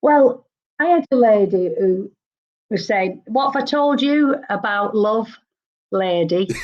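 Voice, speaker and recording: Very slowly, with long, frequent pauses, a woman speaks at a fairly high pitch. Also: lively intonation. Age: 60s. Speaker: psychic medium. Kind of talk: live psychic reading show.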